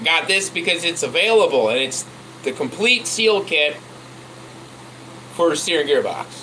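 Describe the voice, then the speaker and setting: A man speaks in a raised, projected voice with a high pitch. Noticeable background noise is present. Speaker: truck mechanic vlogger. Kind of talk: casual tutorial chat. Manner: loud; halting.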